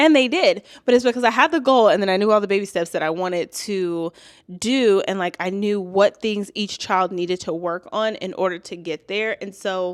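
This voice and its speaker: A woman with a plain, everyday voice speaks at medium pitch and a moderate pace with ordinary pitch variation. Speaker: YouTuber and teacher. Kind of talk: vlog monologue. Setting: home, toddler sleeping. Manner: casual.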